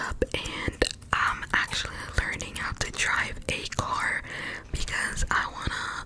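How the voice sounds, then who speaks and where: A woman speaks. She is whispering. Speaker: ASMR creator. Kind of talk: ASMR whisper video. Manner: whispered. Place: home room. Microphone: studio mic.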